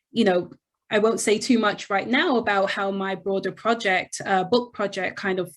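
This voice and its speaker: In a very clean recording with a silent background, a woman with a British accent speaks at a medium pitch and moderate pace, with ordinary pitch variation. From England, London. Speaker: history professor. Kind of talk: interview.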